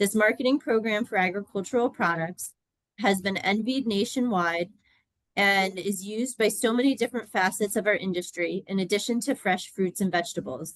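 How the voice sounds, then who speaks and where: At a fairly quick pace, a woman speaks at a medium pitch with ordinary pitch variation and very even loudness. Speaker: farm organization legislative director. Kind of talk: reading prepared testimony. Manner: fast.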